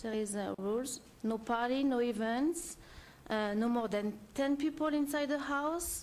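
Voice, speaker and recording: Speaking with a French accent, the voice moves at a fairly slow pace. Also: woman. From France. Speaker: short-term rental owner applicant. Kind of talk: public hearing testimony. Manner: halting, many fillers.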